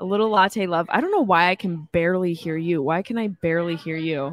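A woman speaks at a fairly quick pace in a fairly low pitch. Her intonation is lively.

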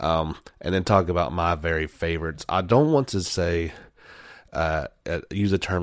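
A man with a very deep, low pitch and vocal fry, ordinary pitch variation and a moderate pace, in a very clean recording with a silent background. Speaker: podcast host. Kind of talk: solo podcast monologue. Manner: soft-spoken today; casual, many filler words.

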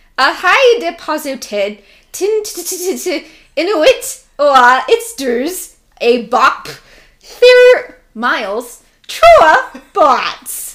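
Putting on a robotic character voice, a woman speaks at an extremely high pitch with very wide pitch swings, moving at a very slow pace with long, frequent pauses. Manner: text-to-speech style.

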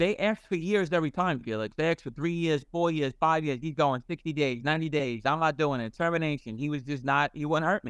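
A man in a normal speaking voice, fairly quick in pace, with ordinary pitch variation and a dry, close sound with no echo. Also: fairly high pitch for a man. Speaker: ex-convict guest. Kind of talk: casual chat. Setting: video call.

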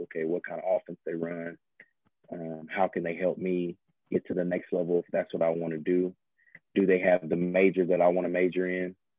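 In a Southern US accent, a man talks at a fairly quick pace with a very deep, low pitch and monotone, flat intonation. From US South, Georgia (Harris County near Columbus). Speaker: former college quarterback. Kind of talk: interview.

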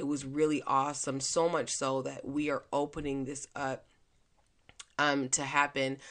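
A woman speaks loudly at a very deep, low pitch. Her intonation stays monotone and flat. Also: moderate pace. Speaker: podcast host and mindset coach. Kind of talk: casual monologue.

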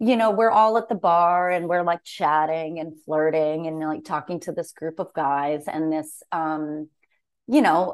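A woman's fairly low voice, a plain, everyday voice, at a fairly slow pace against a quiet background. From Massachusetts. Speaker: comedian and podcast co-host. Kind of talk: casual chat.

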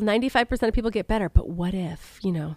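A woman's plain, everyday voice at medium pitch, with ordinary pitch variation and a dry, close sound with no echo in a very clean recording with a silent background. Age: 40s. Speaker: podcast host. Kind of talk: personal health monologue.

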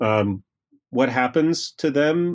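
A man talks with typical rises and falls in pitch, the background quiet. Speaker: history professor. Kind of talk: interview. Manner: halting.

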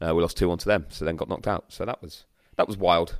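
A man speaks fast in a low, raspy voice with fairly even intonation, on a very clean recording with a silent background.

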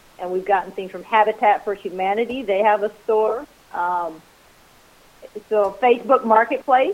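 With an American accent, a woman talks at a moderate pace, her pitch varying in an ordinary way. She leaves long, frequent pauses, and background noise is noticeable. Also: fairly high pitch for a woman. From rural US, farming family. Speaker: Airbnb host. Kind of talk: casual chat.

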